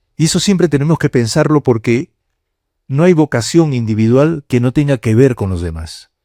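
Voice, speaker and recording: At a moderate pace, a man with a medium pitch and a dark, mellow tone speaks with very wide pitch swings, the sound dry and close with no echo on a very clean recording with a silent background. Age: 70s. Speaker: cardinal and priest giving a lecture. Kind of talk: lecture to university students. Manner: conversational, with hesitations.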